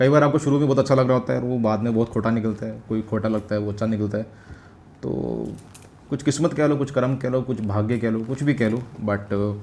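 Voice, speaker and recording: With a slight Punjabi accent, a man talks at a medium pitch with ordinary pitch variation. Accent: slight Punjabi touch in his speech. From Jammu, India (Samba district, Vijaypur area). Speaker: vlogger. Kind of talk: casual Q&A chat.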